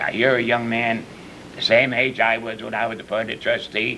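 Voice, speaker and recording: Through noticeable background noise, a man with an American accent talks at a moderate pace. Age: 70s. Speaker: former village mayor. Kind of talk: panel discussion. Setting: village hall. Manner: halting.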